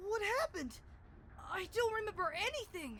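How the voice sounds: Someone uses a put-on character voice at an extremely high pitch and a moderate pace, with clear background noise.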